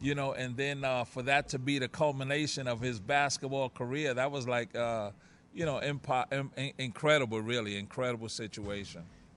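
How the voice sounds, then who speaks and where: Speaking at a moderate pace, a man with an American accent uses a medium pitch and fairly even intonation. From Harlem, New York. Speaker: former basketball player. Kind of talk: interview. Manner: halting, repeats words.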